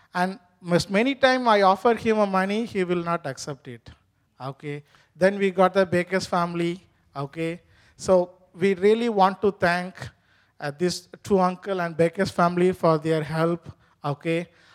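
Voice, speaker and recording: Speech at a moderate pace with long, frequent pauses, in an Indian accent. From India (Tamil). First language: Tamil. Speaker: immigrant worker. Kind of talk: testimony interview. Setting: church stage. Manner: halting.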